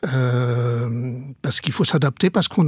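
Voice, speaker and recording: Somewhat breathy, this voice keeps a moderate pace with ordinary pitch variation. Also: man. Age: 70s. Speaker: former priest turned coach. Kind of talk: radio interview.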